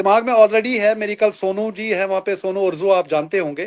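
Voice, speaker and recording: The man's voice sits high in pitch, and he keeps a moderate pace. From Kashmir. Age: 60s. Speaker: community leader and politician. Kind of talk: interview on live talk show. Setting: live online talk show. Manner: halting, many fillers.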